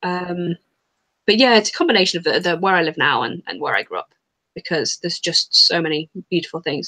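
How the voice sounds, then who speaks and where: Dry and close with no echo, a woman talks at a very fast pace and a fairly low pitch. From England, moved around as RAF child (Oxford, Elgin, Hampshire). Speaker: horror author. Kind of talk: interview chat.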